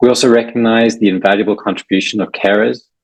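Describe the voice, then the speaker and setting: A man with a South African accent, fairly low in pitch, at a fairly quick pace. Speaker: election candidate. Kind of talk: prepared campaign speech.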